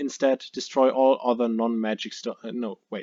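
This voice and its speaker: A man with a non-native accent speaks at medium pitch and a moderate pace. His tone is dark and mellow, the sound dry and close with no echo. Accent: noticeable non-native. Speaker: card game player. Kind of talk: casual card game deck profile talk.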